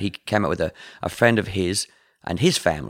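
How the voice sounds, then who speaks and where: A man with an Australian accent speaks at a fairly low pitch and a fairly quick pace, his intonation fairly even. His tone is bright and sharp, and the recording is very clean with a silent background. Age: 50s. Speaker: musician. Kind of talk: interview.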